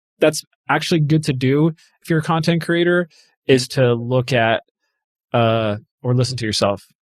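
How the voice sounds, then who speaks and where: A man with a medium pitch speaks at a moderate pace with ordinary pitch variation and long, frequent pauses, on a very clean recording with a silent background and a dry, close sound with no echo. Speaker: content marketing consultant. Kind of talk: casual interview conversation. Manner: uses many filler words.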